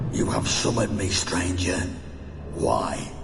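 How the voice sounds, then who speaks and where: Over loud background noise and with a clear echo, a man uses a cartoonish character voice at a fairly slow pace. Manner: menacing, formal.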